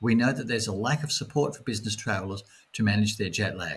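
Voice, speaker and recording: With an Australian accent, the speaker uses ordinary pitch variation. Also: man. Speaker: jet lag consultant. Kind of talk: scripted narration.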